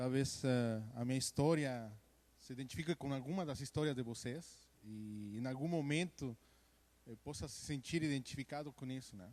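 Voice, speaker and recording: A man speaks with a Mexican accent at a medium pitch. His pace is moderate, and his pitch varies in an ordinary way. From Mexico. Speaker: church member giving testimony. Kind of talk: testimony. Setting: church service.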